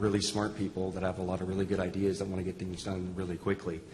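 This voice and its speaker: Very fast, somewhat breathy speech from a man with a fairly low pitch. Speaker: health system IT executive. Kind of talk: panel discussion.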